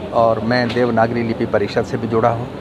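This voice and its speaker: A man speaks with a non-native accent. Noticeable background noise and audible room echo surround his voice. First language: not Hindi (speaking Hindi). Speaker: Hindi language activist. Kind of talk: interview statement.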